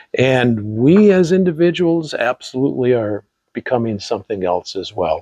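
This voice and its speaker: A man speaks in a dark, mellow tone with very wide pitch swings. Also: medium pitch for a man, moderate pace, dry, close sound with no echo. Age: 70s. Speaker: podcast co-host. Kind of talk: casual chat. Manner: halting.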